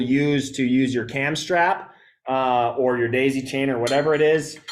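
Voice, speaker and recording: Speaking at a fairly slow pace, this man has an unremarkable speaking voice, a medium pitch, fairly even intonation and an American accent. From Wisconsin, US Midwest. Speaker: bowhunting gear presenter. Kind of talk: live stream gear tutorial. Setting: live stream with camera operator. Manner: casual, many fillers.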